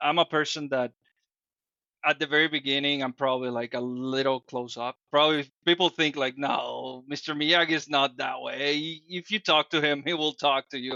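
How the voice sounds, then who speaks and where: A man with a Dominican accent, fairly high-pitched, at a moderate pace with fairly even intonation. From Dominican Republic. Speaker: podcast guest, fitness group leader. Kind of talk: interview conversation. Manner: hesitant, with fillers and restarts.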